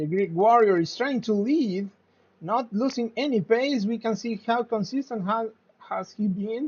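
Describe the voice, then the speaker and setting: This voice carries a Spanish accent. It moves at a fairly slow pace. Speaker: sim racing commentator. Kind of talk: live commentary. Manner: halting.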